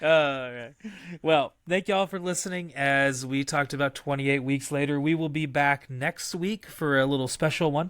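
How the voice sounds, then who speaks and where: A man's fairly high voice at a moderate pace, fairly even in intonation, with a dry, close sound and no echo. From West Texas. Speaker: podcast host. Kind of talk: casual chat.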